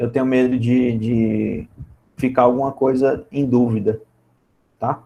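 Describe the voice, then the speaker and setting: A man speaks at a medium pitch with a dark, mellow tone and flat, monotone intonation. His pace is very slow, with long, frequent pauses. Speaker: physics teacher. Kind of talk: online lecture.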